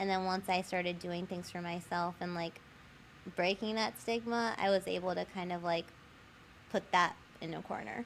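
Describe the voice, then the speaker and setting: With long, frequent pauses, a woman of fairly low pitch talks at a moderate pace and with fairly even intonation. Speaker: licensed professional counselor. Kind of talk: podcast interview. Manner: casual, many fillers.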